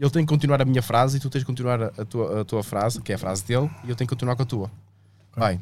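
Very fast and at medium pitch, a man talks with ordinary pitch variation in a very clean recording with a silent background. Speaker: comedian, podcast co-host. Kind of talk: casual chat. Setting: studio, live stream.

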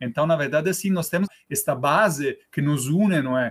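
A man speaks with an Italian accent. His intonation is lively. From Italy (Rome). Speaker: film club organizer. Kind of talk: interview.

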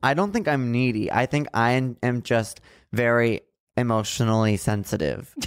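In an unremarkable speaking voice, a man talks at a moderate pace with medium pitch, ordinary pitch variation and very even loudness. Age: 20s. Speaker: podcast co-host. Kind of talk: casual chat. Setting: studio.

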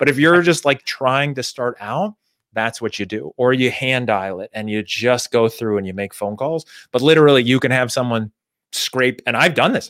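This is an ordinary speaking voice, a man at medium pitch and moderate pace with ordinary pitch variation, recorded very clean, dry and close, with no echo and a silent background. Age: 40s. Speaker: sales consultant and author. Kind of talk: casual interview. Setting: live video stream.

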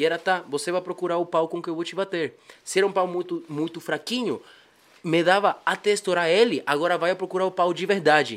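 Fairly even intonation carries a man's high voice along at a fairly quick clip. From Bolivia. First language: Spanish (speaking Portuguese). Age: 20s. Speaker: musician. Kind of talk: casual chat.

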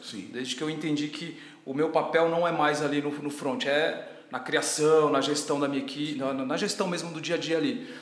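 Amid noticeable background noise and audible room echo, a man with a fairly high pitch speaks at a moderate pace with ordinary pitch variation. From Ceará, Brazil (Tianguá). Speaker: personal trainer and gym owner. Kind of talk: casual interview.

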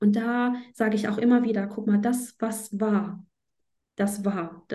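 This woman's fairly high, somewhat breathy voice has a dark, mellow tone and a monotone, flat intonation. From northern Germany, Flensburg. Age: 30s. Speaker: astrology teacher. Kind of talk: interview.

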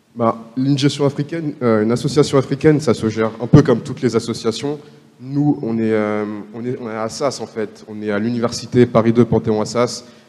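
Noticeable background noise surrounds a man of medium pitch talking at a fairly quick pace with fairly even intonation. His loudness swings widely. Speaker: law student, association vice-president. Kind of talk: panel discussion.

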